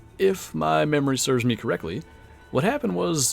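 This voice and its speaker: Music plays behind a man's voice. He speaks at a medium pitch and a moderate pace. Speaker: streamer. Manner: conversational, casual.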